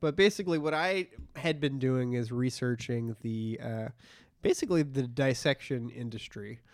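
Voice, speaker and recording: Medium in pitch with ordinary variation, a man speaks in an ordinary speaking voice. The recording is very clean, with a silent background. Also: moderate pace. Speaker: comedy podcast co-host. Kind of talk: casual chat.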